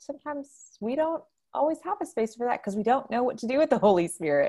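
A woman with an American accent on a very clean recording against a silent background. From Houston, Texas. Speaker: pastor and spiritual director. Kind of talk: interview conversation.

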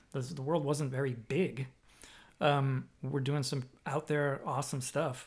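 Somewhat breathy and fairly high-pitched, a man with an American accent speaks at a fairly slow pace in a monotone, flat intonation. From Boston area, Massachusetts. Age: 40s. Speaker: podcast host and drummer. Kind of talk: casual chat. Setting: at home.

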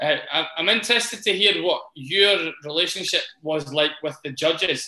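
Moderately paced talk from a man pitched high, with ordinary rise and fall. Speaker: podcast host. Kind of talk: casual chat interview.

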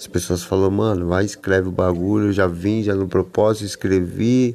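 A man talks in a monotone, flat intonation. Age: 40s. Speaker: skateboarder and author in addiction recovery. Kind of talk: casual monologue podcast. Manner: slangy, filler-heavy.

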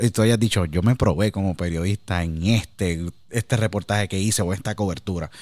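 A man is talking. There is no echo, and the sound is dry and close. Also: very clean recording, silent background. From Puerto Rico, San Juan. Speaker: podcast host and former sports radio broadcaster. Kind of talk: interview conversation.

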